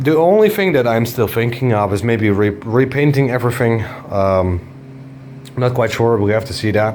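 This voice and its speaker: Noticeable background noise and audible room echo accompany a man of medium pitch. He speaks at a moderate pace with ordinary pitch variation. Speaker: car tuning YouTuber. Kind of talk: casual vlog talk to camera. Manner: halting, stuttering over words.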